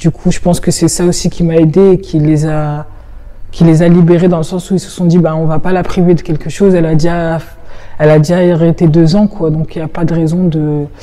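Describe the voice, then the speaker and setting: A woman at a fairly quick pace, fairly low in pitch, in a monotone, flat intonation. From northern France, Roubaix. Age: 20s. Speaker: fencer. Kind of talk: interview testimony.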